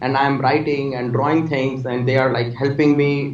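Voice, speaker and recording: Audible room echo surrounds this man's medium-pitched voice. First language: not English. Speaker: technology executive and author. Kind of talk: interview. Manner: halting.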